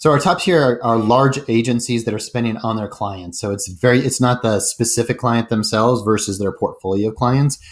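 A man's medium-pitched, unremarkable speaking voice with a General American accent at a moderate pace, in a very clean recording with a silent background. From Colorado (Denver). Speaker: startup CEO. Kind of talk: interview.

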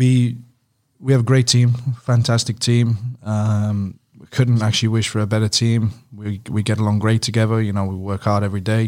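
In a British accent, a man speaks at a moderate pace and medium pitch, his intonation monotone and flat. His loudness swings widely, on a very clean recording with a silent background. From UK. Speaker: strength and conditioning coach. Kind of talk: casual interview.

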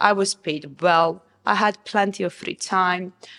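A woman speaks with a Serbian accent. Her pace is fairly slow. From Serbia, Novi Sad. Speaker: restaurant founder. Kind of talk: interview. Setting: restaurant.

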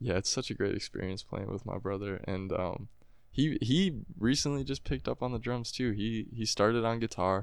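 A man's normal speaking voice at a medium pitch and moderate pace, with ordinary pitch variation and a quiet background. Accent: American. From US Midwest, Wisconsin (Appleton). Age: young. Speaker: singer-songwriter. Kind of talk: casual interview. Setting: studio.

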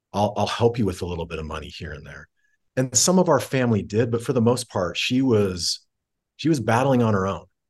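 The voice is somewhat breathy and fairly quick, with very wide pitch swings. There are big swings in loudness over a quiet background. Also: man, medium pitch for a man. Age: 40s. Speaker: tech company CEO. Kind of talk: interview conversation.

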